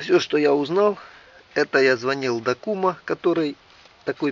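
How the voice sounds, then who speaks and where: Dry sound with no echo, under loud background noise. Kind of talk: casual vlog chat. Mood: mildly ironic, critical. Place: garden. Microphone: phone near.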